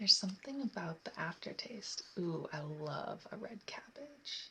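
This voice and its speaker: The voice is soft-spoken. Its pace is fairly slow. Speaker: ASMR creator. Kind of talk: soft spoken chit chat.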